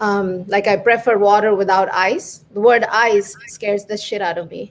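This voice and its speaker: A woman talks at a moderate pace in a medium pitch. Her intonation is monotone and flat. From India. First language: not English (Indian language). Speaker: stand-up comedian. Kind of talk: stand-up. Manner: halting.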